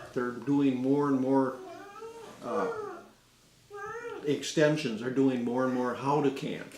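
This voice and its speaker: Audible room echo and noticeable background noise surround a man who speaks at a very slow pace with long, frequent pauses. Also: medium pitch for a man. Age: 60s. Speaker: gardener. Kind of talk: casual interview. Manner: halting.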